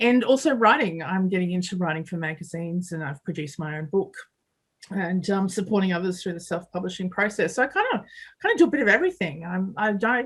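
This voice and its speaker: Talking at a very fast pace, a woman with an Australian accent sounds somewhat breathy, with ordinary pitch variation. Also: medium pitch for a woman. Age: 40s. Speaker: construction project manager and mentor. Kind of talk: podcast interview.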